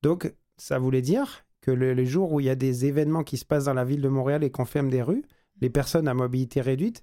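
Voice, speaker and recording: At a very fast pace, a man talks in a dark, mellow tone with a fairly high pitch. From France. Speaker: business owner. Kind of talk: radio interview. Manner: halting.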